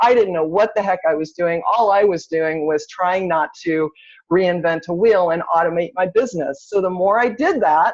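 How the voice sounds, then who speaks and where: This woman has a normal speaking voice at a medium pitch. Her pitch variation is ordinary, and her pace is moderate. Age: 50s. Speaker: real estate agent and CRM trainer. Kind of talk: webinar training talk. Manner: casual, conversational.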